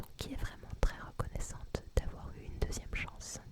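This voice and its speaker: A woman whispers over noticeable background noise. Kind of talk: ASMR series review. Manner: whispered.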